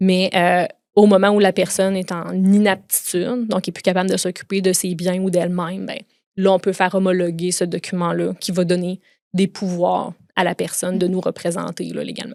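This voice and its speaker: A woman with a Quebec accent speaks at a moderate pace and medium pitch in a monotone, flat intonation, recorded very cleanly against a silent background with a dry, close sound and no echo. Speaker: lawyer. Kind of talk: podcast interview.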